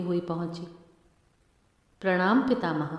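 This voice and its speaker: A woman's solemn voice at medium pitch, with ordinary pitch variation. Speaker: professional voiceover artist. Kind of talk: Hindi narration voiceover of a dramatic mythological story. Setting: voiceover recording for a showcase video. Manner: solemn, slow, mournful narration.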